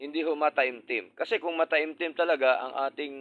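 A normal speaking voice from a man, with ordinary pitch variation and a moderate pace. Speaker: preacher. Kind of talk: sermon. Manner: formal; earnest.

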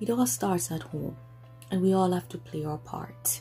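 A woman speaks at a moderate pace in a very deep, low voice, with faint music in the background. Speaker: parent vlogger. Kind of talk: casual vlog chat. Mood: earnest, firm. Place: home room. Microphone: phone near.

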